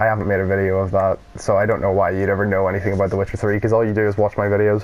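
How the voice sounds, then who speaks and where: A man speaks at a fairly low pitch. Noticeable background noise is present. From Northern Ireland. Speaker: gaming YouTuber. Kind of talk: let's play commentary. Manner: casual, rambling with fillers.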